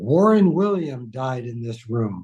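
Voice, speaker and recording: With an American accent, a man speaks at a fairly slow pace in a dark, mellow, somewhat breathy tone. His medium pitch varies in an ordinary way. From Los Angeles, US West Coast. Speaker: priest. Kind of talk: casual chat.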